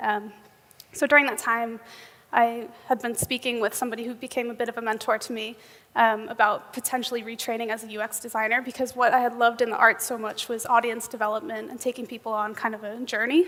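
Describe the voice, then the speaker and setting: A woman talks at a very fast pace with a fairly high pitch and fairly even intonation. Her loudness swings widely. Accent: New York. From US, New York. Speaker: software engineer, conference speaker. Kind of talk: conference keynote talk. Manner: frequent um fillers.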